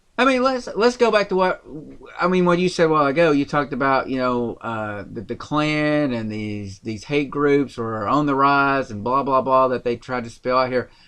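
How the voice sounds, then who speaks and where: With a Tennessee accent, a man with a fairly high pitch talks at a moderate pace and lively intonation. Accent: Southern US, Tennessee. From rural Tennessee. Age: 30s. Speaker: podcast host. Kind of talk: political podcast discussion. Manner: animated.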